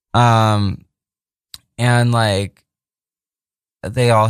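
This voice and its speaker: A man with a fairly low pitch, speaking at a very slow pace. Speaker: radio host. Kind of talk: radio DJ patter: chatty, profane, bantering between songs on a community radio show. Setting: radio studio.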